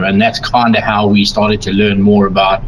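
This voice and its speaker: A man with a South African accent speaks at a moderate pace. Noticeable background noise is present. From South Africa, Durban, Natal coast. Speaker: miniature painting tutorial producer. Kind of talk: casual interview chat. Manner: hesitant, many fillers.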